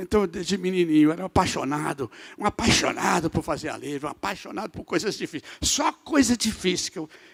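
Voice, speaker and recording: A man with a high voice talks at a fairly quick pace in an animated tone with lively intonation, the sound dry and close with no echo. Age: 80s+. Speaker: bishop, guest preacher. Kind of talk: sermon. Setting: church service.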